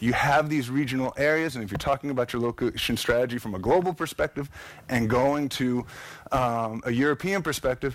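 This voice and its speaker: Speaking at a fairly quick pace, a man with an American accent and a plain, everyday voice has a fairly high pitch and ordinary pitch variation. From United States. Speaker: architect and conference speaker. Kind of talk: conference presentation. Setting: stage with audience.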